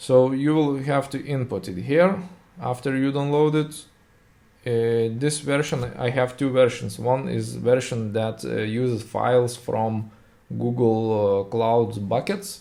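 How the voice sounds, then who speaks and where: A man with a Lithuanian accent speaks fairly slowly at medium pitch, with ordinary pitch variation. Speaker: software tutorial creator. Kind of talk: tutorial. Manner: halting, many fillers.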